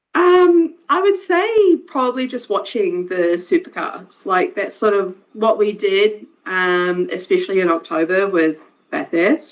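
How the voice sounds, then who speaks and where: A woman speaks in a New Zealand accent at a fairly slow pace. Her fairly high voice moves in very wide pitch swings. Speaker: motorsport engineer and racer. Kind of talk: casual chat.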